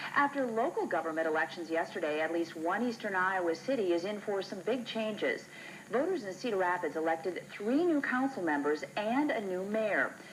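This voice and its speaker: Noticeable background noise sits behind a woman speaking at a moderate pace. Her medium-pitched voice has lively intonation. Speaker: local TV news anchor. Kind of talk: TV news anchor read.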